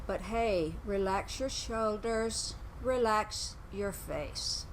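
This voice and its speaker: A woman's calm tone at a very slow pace, with audible room echo. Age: 80s+. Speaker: yoga instructor. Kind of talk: exercise class instruction. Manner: calm, slow guided pacing.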